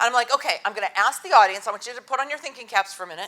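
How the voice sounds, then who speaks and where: A woman speaks in a bright, sharp, animated tone with lively intonation. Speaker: workshop presenter, former teacher. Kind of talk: conference workshop talk. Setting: stage with audience, PA system. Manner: loud.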